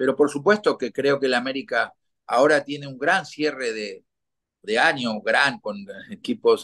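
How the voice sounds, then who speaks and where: A man's fairly high, bright, sharp voice with lively intonation and big swings in loudness, at a fairly slow pace over a quiet background. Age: 60s. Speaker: retired football goalkeeper; guest. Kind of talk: interview. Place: home room. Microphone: video call.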